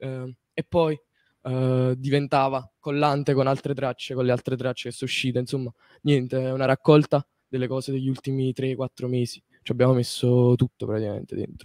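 In a dry, close sound with no echo, a man talks at a moderate pace and medium pitch with monotone, flat intonation. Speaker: musician. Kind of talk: interview.

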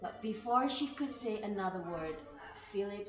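The reading voice here sounds natural.

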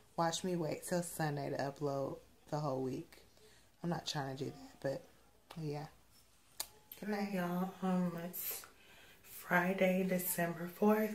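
A woman with a somewhat breathy, fairly low voice speaks at a fairly slow pace, with ordinary pitch variation and long, frequent pauses. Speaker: vlogger. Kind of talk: vlog. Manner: casual.

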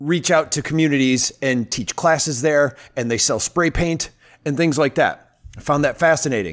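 His pitch rises and falls in a normal way, at a moderate tempo. The man is heard against a quiet background. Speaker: podcast host. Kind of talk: podcast intro, casual talk. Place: home room. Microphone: studio mic.

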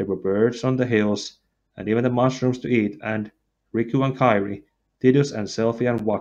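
This is an unforced reading voice with fairly even intonation over a quiet background.

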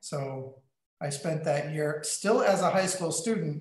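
This man has an unremarkable speaking voice, fairly high in pitch with ordinary pitch variation. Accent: American. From US Midwest and West, military family. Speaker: meteorite curator and Jesuit brother. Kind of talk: interview on a video call. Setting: video call.

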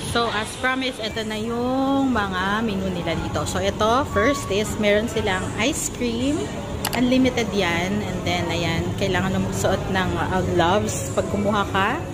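A woman speaks at a fairly slow pace with clear music in the background. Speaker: vlogger. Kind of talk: casual vlog chat, food tour. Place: cafe. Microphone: phone near.

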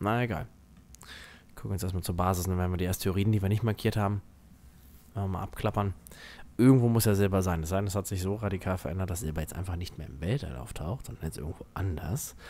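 The speech runs at a very fast pace. Long, frequent pauses break it up. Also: man, very deep, low pitch for a man, ordinary pitch variation. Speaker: gaming YouTuber. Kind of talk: let's play commentary. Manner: animated.

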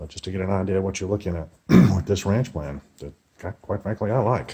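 Very deep and low in pitch, a man speaks at a very fast pace. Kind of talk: casual home tour commentary. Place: empty room. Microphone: phone near.

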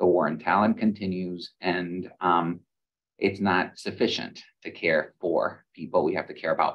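The background stays quiet as a man speaks. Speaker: medical school dean. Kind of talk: panel discussion. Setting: video call. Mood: thoughtful, earnest. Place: office. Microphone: video call.

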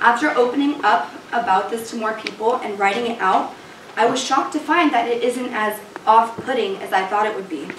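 A woman talks fairly quickly while noticeable background noise plays behind her. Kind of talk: dramatic first-person reading. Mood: earnest, reflective. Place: stage. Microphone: camera far.

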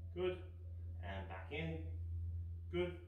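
The speech moves at a very slow pace, with audible room echo and light background noise. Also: man. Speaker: fitness instructor. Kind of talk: instructional kids' exercise video. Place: home room.

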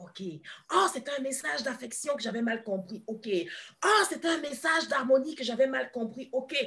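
A woman speaks at a fairly slow pace in a high pitch with very wide pitch swings. The background is quiet. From Ivory Coast. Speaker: kinesiologist and therapist; guest. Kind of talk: interview. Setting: live video stream. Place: home room. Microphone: video call.

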